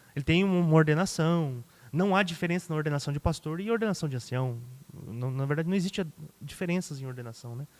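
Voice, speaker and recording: This man rattles along very fast. He pitches fairly high and varies it an ordinary amount. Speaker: pastor. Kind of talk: podcast interview.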